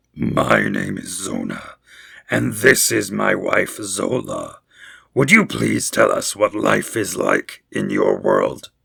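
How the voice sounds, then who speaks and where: A man performs a put-on character voice. The voice is raspy. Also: fairly slow pace. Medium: read story.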